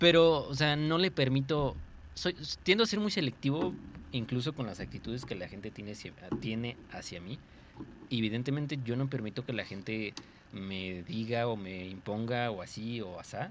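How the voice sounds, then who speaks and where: Lively intonation at a moderate pace. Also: man, medium pitch for a man. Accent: Mexican. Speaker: podcast co-host. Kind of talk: casual chat.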